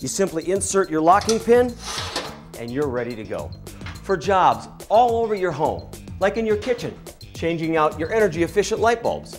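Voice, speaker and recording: Music plays in the background as a man speaks. His pitch is high and moves in very wide swings. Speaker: TV host. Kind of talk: infomercial presentation.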